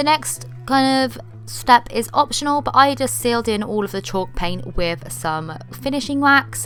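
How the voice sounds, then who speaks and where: A woman with a fairly low pitch talks at a fairly slow pace with hardly any pauses. Her pitch swings very widely, with music in the background. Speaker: DIY YouTuber. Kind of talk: tutorial. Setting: at home. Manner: casual, chatty.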